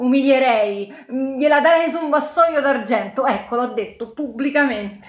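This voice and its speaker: A woman speaks in a high voice at a moderate pace. Her pitch varies an ordinary amount, and the room echo is audible. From Italy. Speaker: book YouTuber. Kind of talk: casual vlog monologue. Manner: animated. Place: home room.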